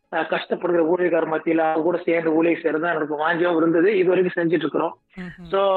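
The intonation is monotone and flat, and the loudness stays very even throughout. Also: man, high pitch for a man. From India (Tamil). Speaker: pastor and singer. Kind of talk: interview testimony.

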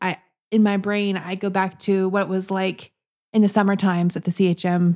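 A woman's medium-pitched, dark, mellow voice, monotone and flat at a moderate pace, on a very clean recording with a silent background. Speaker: podcast co-host. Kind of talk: casual chat.

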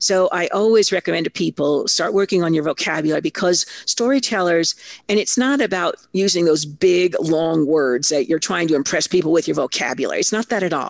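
A woman with an American accent and an unremarkable speaking voice talks at a fairly quick pace and fairly low pitch, with lively intonation, hardly any pauses and a dry, close sound with no echo. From Italy (American family abroad). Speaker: storytelling consultant and keynote speaker. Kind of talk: interview.

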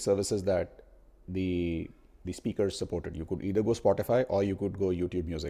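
The voice has a dark, mellow tone and an Indian accent. It moves at a fairly quick pace. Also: man. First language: Hindi. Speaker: podcast host, product marketer. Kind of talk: casual chat. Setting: remote call.

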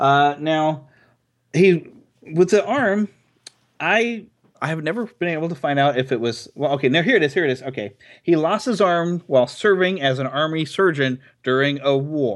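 With a quiet background behind him, a man speaks at a moderate pace, his pitch fairly high and his intonation lively. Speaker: podcast host. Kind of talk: casual chat. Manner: animated.

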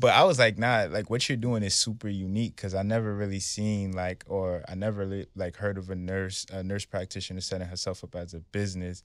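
In a New York accent, a man talks at a fairly low pitch with monotone, flat intonation. He goes at a fairly quick pace with hardly any pauses. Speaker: podcast host. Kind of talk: casual interview.

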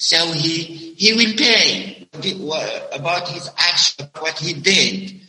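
Speaking very slowly, a man uses a high pitch and fairly even intonation. He talks with an Arabic accent. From Algeria, Mezuna (west). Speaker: English teacher. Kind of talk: interview. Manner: halting. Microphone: connection problems.

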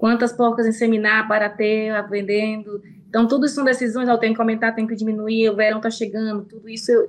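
With a strong northeastern Brazilian accent, a woman speaks at a fairly high pitch. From Brazil, Piauí (Northeast). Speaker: pig farm manager, veterinarian. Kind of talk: interview.

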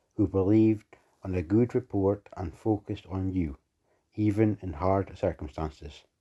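Somewhat breathy with a dark, mellow tone, the voice moves at a fairly slow pace with ordinary pitch variation over a quiet background. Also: man. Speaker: prayer leader. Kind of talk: fervent prayer. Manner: earnest, pleading; steady, declarative.

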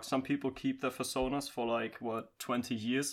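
With a German accent, a man talks at a moderate speed. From Germany. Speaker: podcast guest, hobby voice actor. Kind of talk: casual chat.

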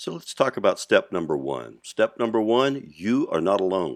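Against a quiet background, a man talks at a moderate pace in a dry, close sound with no echo. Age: 60s. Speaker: podcast host. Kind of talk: monologue.

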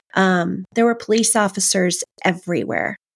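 A woman with an American accent speaks at a fairly slow pace. The sound is dry and close with no echo, a very clean recording with a silent background. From US West Coast, Southern California. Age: 50s. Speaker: author. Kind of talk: interview, personal testimony.

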